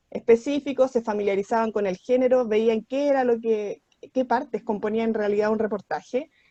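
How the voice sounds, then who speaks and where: A woman with a fairly high pitch and a dark, mellow tone speaks at a moderate pace with fairly even intonation, in a dry, close sound with no echo. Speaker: school teacher. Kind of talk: online class lecture. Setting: video call.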